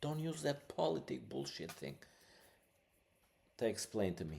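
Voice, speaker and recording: The speaker is male. His accent is non-native. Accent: foreign accent, non-native English. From Albania. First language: Albanian. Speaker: podcast host. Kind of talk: casual podcast monologue. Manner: halting, many fillers; animated.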